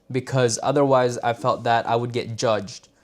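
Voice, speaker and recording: Speaking at a fairly slow pace, a man uses a medium-pitched voice. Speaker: live streamer. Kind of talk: casual live stream monologue. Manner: loud.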